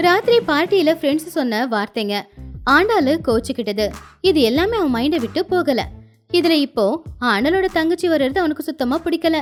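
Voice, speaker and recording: A high-pitched woman's voice with very wide pitch swings over music in the background. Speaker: voice actor. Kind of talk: animated moral story narration.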